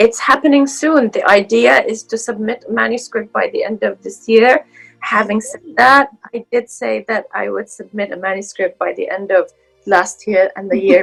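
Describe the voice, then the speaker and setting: A woman at a moderate pace with big swings in loudness, music in the background. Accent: Arabic. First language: Arabic. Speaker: researcher. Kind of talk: interview.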